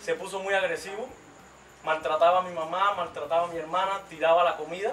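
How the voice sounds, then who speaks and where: At a fairly quick pace, a man talks in a high, flat monotone over light background noise. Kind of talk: religious testimony. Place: home room.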